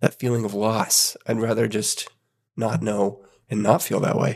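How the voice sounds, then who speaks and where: The man's somewhat breathy voice moves at a moderate pace over a quiet background. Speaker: podcast host. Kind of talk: casual chat.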